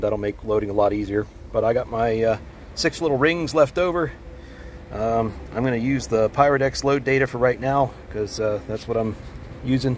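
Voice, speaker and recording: Over light background noise, a man speaks at a fairly quick pace with ordinary pitch variation in a dry sound with no echo. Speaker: hobby shooter vlogger. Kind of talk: casual vlog chat. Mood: relaxed, amused. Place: open country. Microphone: phone near.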